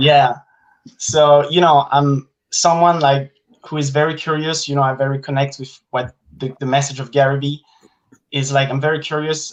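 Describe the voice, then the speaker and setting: A man with a French accent, fairly high in pitch, at a moderate pace, in a monotone, flat intonation. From France. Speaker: content creator. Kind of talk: casual interview chat.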